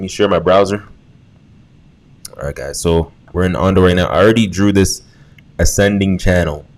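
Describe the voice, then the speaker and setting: Against noticeable background noise, a man with a fairly low pitch speaks at a moderate pace. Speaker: crypto trading youtuber. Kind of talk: chart analysis tutorial. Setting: not in a soundproof room. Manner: quieter than usual; casual.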